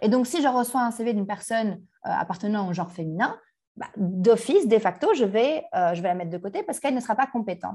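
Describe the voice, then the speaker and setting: Very fast and somewhat breathy, a woman speaks with lively intonation in a dark, mellow tone. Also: fairly high pitch for a woman. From Belgium, Brussels (Anderlecht). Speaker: startup founder. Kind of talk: interview.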